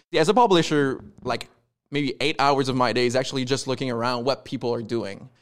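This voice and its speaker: A man at a medium pitch, with ordinary pitch variation and a fairly quick pace. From Quebec. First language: French. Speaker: comic book publisher. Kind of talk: casual interview.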